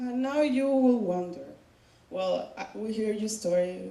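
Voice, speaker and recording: Through audible room echo and noticeable background noise, a woman with a non-native accent speaks at a fairly slow pace with lively intonation. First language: not English. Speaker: student speaker sharing personal story. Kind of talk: personal testimony speech.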